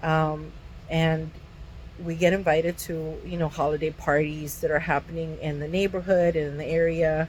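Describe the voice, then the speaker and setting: Her pitch very deep and low, a woman speaks in a monotone, flat intonation. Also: moderate pace. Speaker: vlogger with Tourette's. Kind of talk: personal video diary. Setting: self-recorded video. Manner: halting, many fillers.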